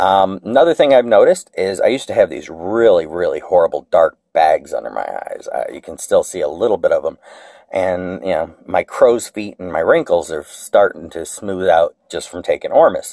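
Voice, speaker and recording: A man speaks at a moderate pace with hardly any pauses. His loudness swings widely over a quiet background. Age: 40s. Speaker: video blogger. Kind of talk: tutorial; casual vlog chat. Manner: halting, many fillers. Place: kitchen. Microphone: phone near.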